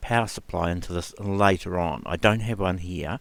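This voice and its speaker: This man speaks with a New Zealand accent. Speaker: retro computer YouTuber. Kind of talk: casual tutorial.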